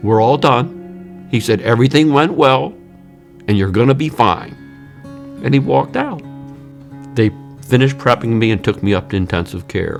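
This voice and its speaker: A man speaks at a medium pitch and a moderate pace, with lively intonation. He leaves long, frequent pauses while music plays in the background. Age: 60s. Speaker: heart attack survivor, patient. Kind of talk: interview answer.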